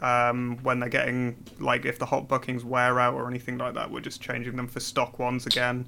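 A man is speaking. Noticeable background noise sits behind his voice. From northern England, Newcastle. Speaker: airsoft company representative and technician. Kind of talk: podcast interview. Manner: hesitant, many fillers.

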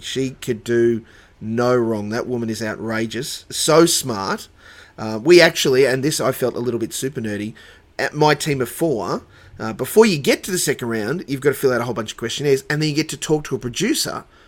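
A man speaks with an Australian accent at a fairly quick pace. His pitch variation is ordinary. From Dubbo, New South Wales, Australia. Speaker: church worker. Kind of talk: casual chat.

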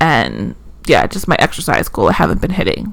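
Noticeable noise fills the background. A woman is talking. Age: 30s. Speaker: podcast co-host. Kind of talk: casual chat.

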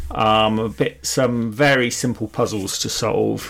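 A man with a British accent, at a fairly slow pace. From United Kingdom. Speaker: gaming podcast co-host. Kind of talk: casual chat.

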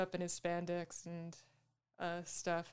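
Fairly slowly, a woman delivers her words. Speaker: podcast co-host and editor. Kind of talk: casual chat.

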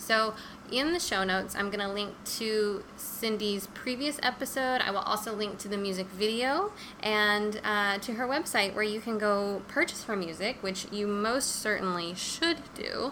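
A woman with a fairly high pitch and ordinary pitch variation talks at a moderate pace in an ordinary speaking voice. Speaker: podcast host. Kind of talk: casual interview. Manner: warm, effusive.

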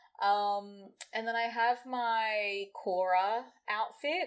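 Fairly high in pitch, a woman speaks with an Australian accent and fairly even intonation. The recording is very clean, with a silent background. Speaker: DJ and party organizer. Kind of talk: casual interview chat.

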